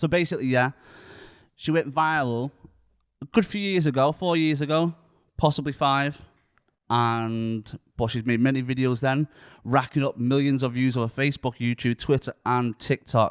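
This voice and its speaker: A voice with a Lancashire accent, ordinary pitch variation and a moderate pace, long and frequent pauses throughout, in a dry, close, very clean recording with no echo and a silent background. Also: man, medium pitch for a man. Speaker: podcast host. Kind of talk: casual chat. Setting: studio.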